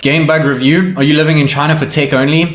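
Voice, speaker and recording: At a moderate pace, the voice comes through noticeable background noise and audible room echo. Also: man. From South Africa. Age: 20s. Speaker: tech YouTuber. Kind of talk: casual Q&A monologue.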